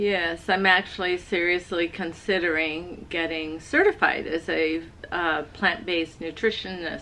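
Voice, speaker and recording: Against noticeable background noise, a woman speaks at a fairly slow pace. Her fairly low voice stays monotone and flat. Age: 60s. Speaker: host's mother. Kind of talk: casual chat.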